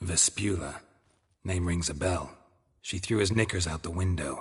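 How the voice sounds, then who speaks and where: A man's put-on character voice, very deep and low in pitch, deadpan in tone, at a moderate pace. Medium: video game. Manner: deadpan, terse.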